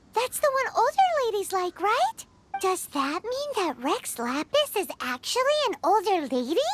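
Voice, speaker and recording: A squeaky, extremely high put-on character voice at a moderate pace with very wide pitch swings. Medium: video game. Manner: chatty, blunt.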